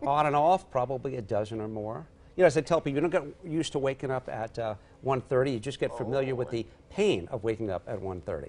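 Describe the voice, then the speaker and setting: A fairly quick-paced man with an American accent and lively intonation, over light background noise. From Long Island, New York. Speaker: TV meteorologist and evening news presenter. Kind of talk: interview answer. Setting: TV studio interview. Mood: light, joking. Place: studio. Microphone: lapel.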